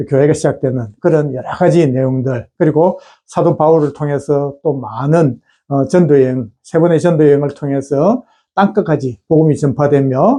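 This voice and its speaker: A man's dark, mellow voice, fairly high in pitch. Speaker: pastor. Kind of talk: bible teaching video. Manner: many filler sounds, hesitant.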